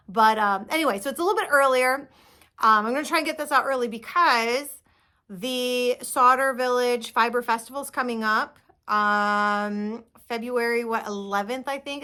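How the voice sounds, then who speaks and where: Recorded very cleanly against a silent background, a woman speaks at a high pitch with a bright, sharp tone. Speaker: knitting podcaster. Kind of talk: casual monologue.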